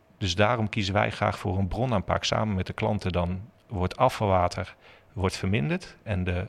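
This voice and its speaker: Moderately paced male speech, very deep and low, with usual pitch movement. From Netherlands, Zutphen (Gelderland). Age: 40s. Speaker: water technology company employee. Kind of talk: interview.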